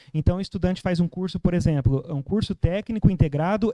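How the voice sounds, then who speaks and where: Dry and close with no echo, a man's high voice has a dark, mellow tone and lively intonation at a moderate pace. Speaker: researcher presenting a project. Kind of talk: academic presentation. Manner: hesitant, many fillers.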